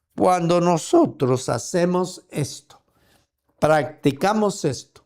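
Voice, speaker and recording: Pitched high with ordinary pitch variation, a man's voice moves at a very slow pace. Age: 70s. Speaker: preacher. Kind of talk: sermon. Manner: halting.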